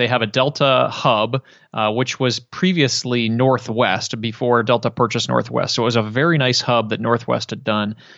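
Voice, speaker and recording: Hardly any pauses from a man with a Midwestern American accent, medium in pitch, with fairly even intonation. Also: moderate pace. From Detroit, Michigan. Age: 30s. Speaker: podcaster. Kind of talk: interview.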